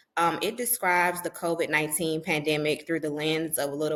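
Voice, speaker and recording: A woman speaks at a moderate pace with a fairly low pitch and fairly even intonation. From US South, Mississippi. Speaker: public health professional and author. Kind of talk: podcast interview.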